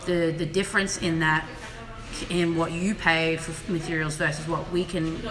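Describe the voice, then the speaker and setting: Monotone and flat, a woman with an Australian accent talks amid noticeable background noise and audible room echo. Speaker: fashion production consultant. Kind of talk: live Q&A chat. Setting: Instagram live stream from office.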